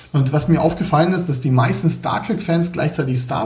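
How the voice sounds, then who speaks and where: A man at a moderate pace, with audible room echo. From Berlin, Germany. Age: 40s. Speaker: 3D graphics artist and indie game developer. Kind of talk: casual interview. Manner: hesitant, many fillers.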